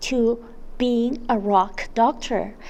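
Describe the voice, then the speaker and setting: The woman talks at a very slow pace in a high pitch. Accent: non-native. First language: not English. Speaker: vlogger. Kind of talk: vlog narration. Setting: outdoors.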